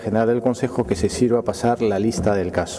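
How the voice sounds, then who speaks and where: Speech from a man races along at a very fast pace. Some light noise can be heard in the background. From Peru. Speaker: mayor chairing council. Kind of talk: formal council session. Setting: council chamber. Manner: formal. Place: hall. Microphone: podium.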